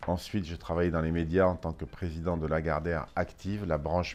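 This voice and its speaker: This man's voice is very deep and low, and he keeps to a moderate speed. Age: 60s. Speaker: business executive. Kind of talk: interview. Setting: office.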